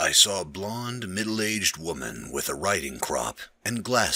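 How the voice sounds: Someone reads the words in a natural voice.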